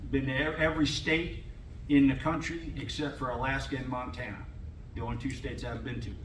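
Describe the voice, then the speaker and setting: A fairly high-pitched male voice, fairly even in intonation and fairly quick, with audible room echo and noticeable background noise. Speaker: former football coach and scout, panelist. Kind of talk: panel talk to college athletes. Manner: halting.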